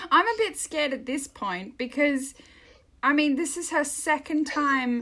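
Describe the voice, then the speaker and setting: In an Australian accent, a woman speaks with an animated tone. Her voice is bright and sharp. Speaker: podcast co-host. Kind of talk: casual chat. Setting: remote recording.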